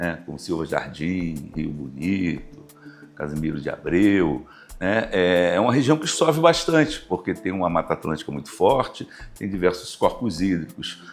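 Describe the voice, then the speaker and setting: A man speaks at a moderate pace in a very deep, low voice. His intonation is lively. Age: 60s. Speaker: university professor and river basin committee president. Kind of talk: interview.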